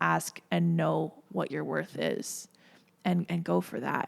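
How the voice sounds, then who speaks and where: A woman talks at a fairly slow pace with an American accent. The recording is very clean, with a silent background. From Minnesota, US. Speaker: entertainment media personality. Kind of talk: casual podcast interview.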